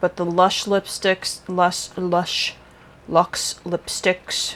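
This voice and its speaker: A woman's fairly low, monotone, flat voice at a very slow pace, with noticeable background noise. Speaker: beauty vlogger. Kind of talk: casual monologue to camera. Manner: slightly slurred.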